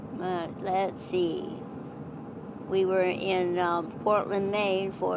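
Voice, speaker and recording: A woman with an American accent speaks very slowly at medium pitch in a monotone, flat intonation. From Iowa, USA. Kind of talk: family storytelling. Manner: hesitant, reflective.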